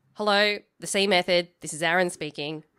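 A gruff, female-sounding put-on character voice at a middle pitch and a fairly quick pace. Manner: friendly.

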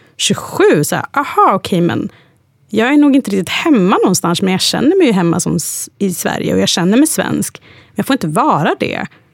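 Using a medium pitch with very wide pitch swings and vocal fry, a woman talks at a fairly quick pace. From Sweden, Hudiksvall (Hälsingland). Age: 30s. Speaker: interview guest. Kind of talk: casual interview.

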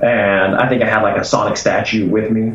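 Noticeable background noise sits behind a man with an American accent who speaks at a moderate pace with a fairly low pitch and fairly even intonation. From Arkansas, US South. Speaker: game designer. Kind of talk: casual chat. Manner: casual, hesitant with filler words.

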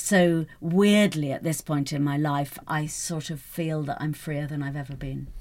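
A woman's very deep, low voice in a British accent, fairly slow and fairly even in intonation, with hardly any pauses. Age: 50s. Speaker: newspaper columnist. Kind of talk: casual chat. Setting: studio.

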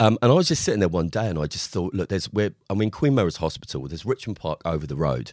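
A man speaks with vocal fry. The sound is dry and close with no echo, on a very clean recording with a silent background. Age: 40s. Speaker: psychotherapist. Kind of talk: podcast interview.

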